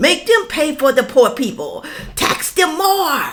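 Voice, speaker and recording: Woman with an animated tone. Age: 60s. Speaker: YouTuber. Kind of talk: opinion rant to camera.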